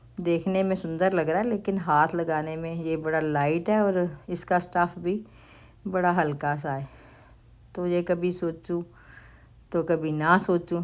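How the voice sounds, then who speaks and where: With an ordinary speaking voice, a woman talks at a fairly low pitch and fairly even intonation on a very clean recording with a silent background. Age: 60s. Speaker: grandmother vlogger. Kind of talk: shopping vlog. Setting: store.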